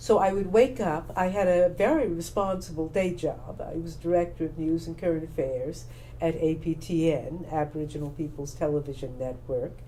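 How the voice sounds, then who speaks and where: Speaking at a moderate pace with hardly any pauses, the voice carries an American accent and ordinary pitch variation, with noticeable background noise and audible room echo. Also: woman, fairly low pitch for a woman. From Texas, Houston. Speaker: playwright, former broadcaster and actor. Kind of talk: interview. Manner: measured, with hesitations.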